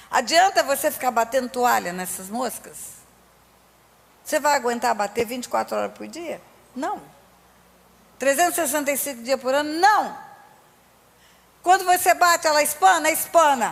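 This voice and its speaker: A high-pitched woman speaks at a moderate pace with lively intonation, big swings in loudness and long, frequent pauses, over noticeable background noise. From Brazil. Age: 60s. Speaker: pastor. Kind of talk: sermon. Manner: animated.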